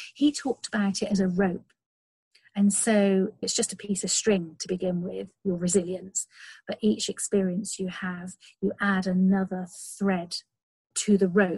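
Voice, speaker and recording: Somewhat breathy and dark, mellow in tone, a woman speaks at a medium pitch and fairly slow pace with fairly even intonation, the sound dry and close with no echo. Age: 40s. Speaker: long distance walker and outdoor blogger. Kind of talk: interview.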